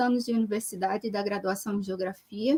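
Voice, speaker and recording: A woman speaks at a fairly quick pace. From Brazil, Recife (Pernambuco). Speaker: geographer, researcher on urban social movements. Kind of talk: live-stream interview / talk. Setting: online live stream.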